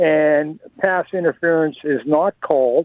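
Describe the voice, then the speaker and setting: A man's very slow speech at a fairly high pitch, with fairly even intonation. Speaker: caller. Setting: phone call.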